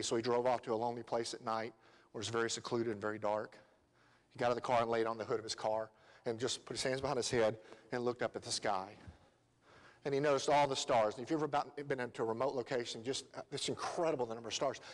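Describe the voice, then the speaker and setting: A man talks with a Southern US accent. His pace is very fast, and his intonation stays fairly even. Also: medium pitch for a man. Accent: Southern US, noticeable. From Tennessee. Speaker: lay preacher. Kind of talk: sermon. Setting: church. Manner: hesitant, many fillers.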